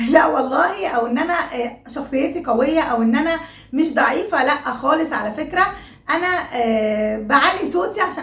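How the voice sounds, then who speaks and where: A woman speaks loudly at a moderate pace with lively intonation, with audible room echo and noticeable background noise. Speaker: YouTuber. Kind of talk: casual vlog talk.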